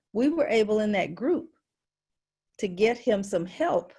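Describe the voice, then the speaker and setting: In a very clean recording with a silent background, a woman with an American accent speaks at a fairly high pitch, somewhat breathy, her tone dark, mellow and passionate. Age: 70s. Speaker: work group member and caregiver support group leader. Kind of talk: meeting discussion.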